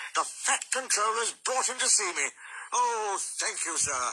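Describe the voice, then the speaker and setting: A put-on character voice, fairly high in pitch and at a fairly slow pace. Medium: read story. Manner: pompous.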